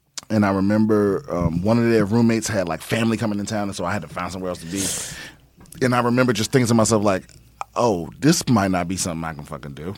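A man with an American accent speaks at a very fast pace, his pitch fairly low with ordinary variation. Noticeable background noise runs under him. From US East Coast, Prince George's County, Maryland (DC area). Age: middle-aged. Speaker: stand-up comedian and military veteran. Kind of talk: casual chat.

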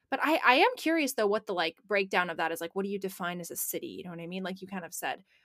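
Very fast and with hardly any pauses, a woman with an American accent speaks at a medium pitch in an animated tone, with lively intonation and big swings in loudness, in a dry, close recording with no echo. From Portland, Oregon. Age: 20s. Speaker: podcast co-host. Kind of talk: casual chat.

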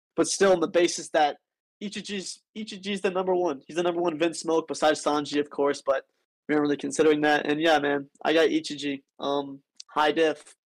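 The speaker is a man with a plain, everyday voice and a fairly high pitch. He moves at a fairly quick pace with fairly even intonation. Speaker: debater, Discord community member. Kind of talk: casual debate.

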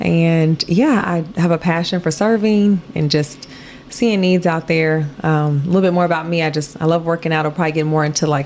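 A woman with an American accent speaks at a moderate pace in a fairly low pitch. Noticeable background noise runs through the clip. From Chicago area, Illinois. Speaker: nonprofit founder and businesswoman. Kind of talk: casual interview. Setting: apartment.

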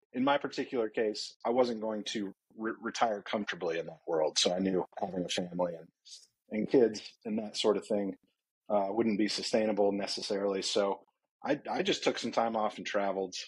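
A man's ordinary speaking voice, fairly low in pitch, at a fairly quick pace. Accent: American. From US South, Atlanta. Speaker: startup founder. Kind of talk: casual interview.

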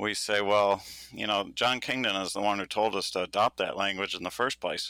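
Bright and sharp in tone, the speaker uses an American accent at a moderate pace in a very clean recording with a silent background. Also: man, dry, close sound with no echo. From Michigan, urban. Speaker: political scientist. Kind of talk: interview.

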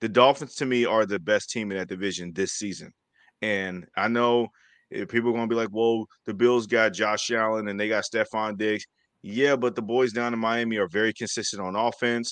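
Against a quiet background, a man with an unremarkable speaking voice, medium pitch and fairly even intonation talks at a fairly quick pace. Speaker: sports podcast co-host. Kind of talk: casual sports chat. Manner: confident.

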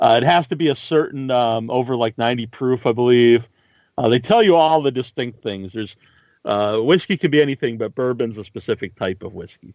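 At a fairly quick pace, a man speaks in an ordinary speaking voice with medium pitch and ordinary pitch variation. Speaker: podcast host. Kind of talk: casual interview.

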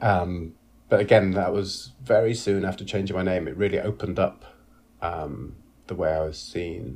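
This man's pitch is very deep and low, with vocal fry. He speaks at a fairly slow pace with ordinary pitch variation. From northern England, Leeds. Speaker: actor and director. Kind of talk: casual interview.

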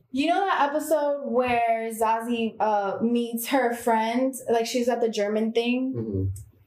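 A woman at a fairly high pitch, with ordinary pitch variation, very even loudness and hardly any pauses, amid noticeable background noise and audible room echo. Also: fairly slow pace. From Miami. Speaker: actress and comedian. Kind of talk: casual chat.

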